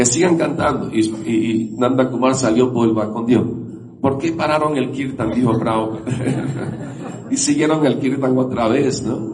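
Over noticeable background noise, a man talks at a fairly slow pace with a medium pitch and fairly even intonation. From Syria and Lebanon, then Venezuela. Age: 70s. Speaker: Hare Krishna devotee and speaker. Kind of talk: talk to a temple gathering. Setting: temple with audience.

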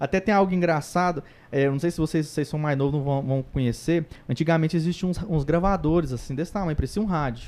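This man has a fairly high voice with ordinary pitch variation. He speaks at a very fast pace. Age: 30s. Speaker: evangelist. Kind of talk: casual interview.

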